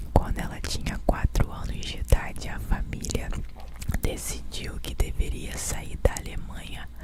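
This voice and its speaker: Someone whispers at a very slow pace. Noticeable background noise sits under the voice. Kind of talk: ASMR whispered fact narration. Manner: whispered, soft.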